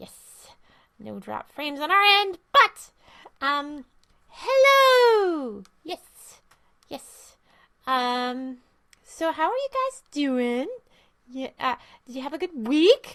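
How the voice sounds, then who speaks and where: A female-sounding, put-on character voice speaks in a high pitch. The pace is very slow, with long, frequent pauses. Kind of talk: casual livestream chat.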